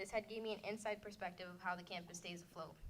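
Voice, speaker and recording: Speaking at a very fast pace, a woman with an American accent sounds shaky, her medium pitch held to fairly even intonation. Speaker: community college student. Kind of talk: prepared speech to an audience. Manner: shaky voice.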